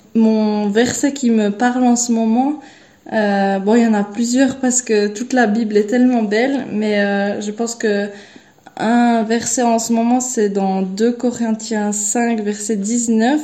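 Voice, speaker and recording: Somewhat breathy and fairly high-pitched, a woman speaks at a very slow pace. Her intonation stays monotone and flat. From Switzerland. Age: 20s. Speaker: au pair on a mission. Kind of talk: personal testimony. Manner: halting, many repetitions and hesitations.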